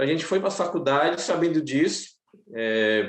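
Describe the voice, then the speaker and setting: A man's fairly high voice shows ordinary pitch variation and moves at a moderate pace. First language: Macuxi (speaking Portuguese). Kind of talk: seminar panel talk. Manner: halting.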